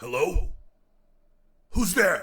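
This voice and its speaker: A man puts on a character voice. It is high-pitched and raspy. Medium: audio drama. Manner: tense, clipped.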